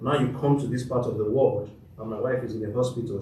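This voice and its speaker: In audible room echo, a man of medium pitch speaks at a fairly quick pace. His intonation is fairly even. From Nigeria. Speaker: lawyer, panelist. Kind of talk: panel talk.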